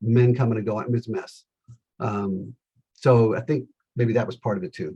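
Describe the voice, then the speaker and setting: A man's medium-pitched voice with an American accent, dark and mellow in tone, somewhat breathy, at a moderate pace with ordinary pitch variation. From Los Angeles, California. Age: 60s. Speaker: salesman. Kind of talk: interview.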